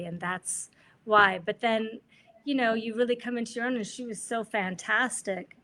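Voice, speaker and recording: Bright and sharp in tone, a woman with an American accent speaks at a fairly high pitch and moderate pace with fairly even intonation. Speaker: jazz vocalist. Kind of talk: interview answer.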